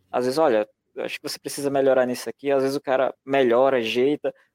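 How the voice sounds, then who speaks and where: A man talks at a very fast pace with a medium pitch. The sound is dry and close, with no echo. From Brazil, rural interior of Pernambuco. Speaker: publisher and illustrator. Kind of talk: podcast interview. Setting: live stream.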